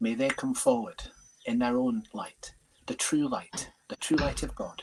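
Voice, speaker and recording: A man speaks at a moderate pace. Music plays in the background. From Leeds, northern England. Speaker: medium. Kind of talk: prayer.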